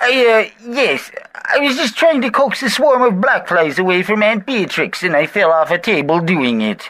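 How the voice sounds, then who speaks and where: In a put-on character voice with a fairly high pitch, the speaker goes at a moderate pace with hardly any pauses. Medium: audio drama. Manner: prim, earnest, fussy.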